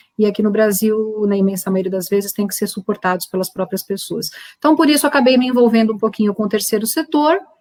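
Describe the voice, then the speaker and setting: A woman speaks at a very fast pace with hardly any pauses. Her fairly high pitch shows ordinary pitch variation. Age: 50s. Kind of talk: panel discussion.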